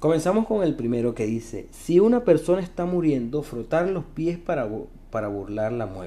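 In a Venezuelan accent, a man with a dark, mellow tone and a fairly high pitch speaks at a moderate pace, his pitch swinging very widely. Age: 20s. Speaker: podcast host. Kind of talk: comedic monologue. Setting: recording in his elevator.

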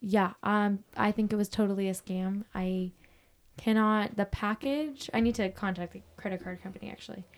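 A woman at a medium pitch, fairly even in intonation and moderate in pace, with big swings in loudness, on a very clean recording with a silent background. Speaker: podcast co-host, bride-to-be. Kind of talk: casual chat. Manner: low energy.

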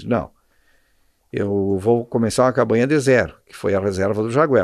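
A normal speaking voice with ordinary pitch variation against a quiet background. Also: man. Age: 60s. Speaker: endurance horse rider and shopkeeper. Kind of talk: casual interview. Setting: in his shop.

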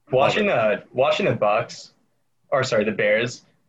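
Somewhat breathy, this man talks at a medium pitch. He keeps a moderate pace. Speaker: podcast host. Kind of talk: casual chat.

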